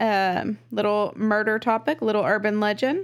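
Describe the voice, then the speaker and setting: On a very clean recording with a silent background, a woman speaks in a Texan accent. Her pitch is fairly high and her pace fairly slow. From Texas. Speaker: true crime podcast co-host. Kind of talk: casual storytelling chat. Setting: studio, in person.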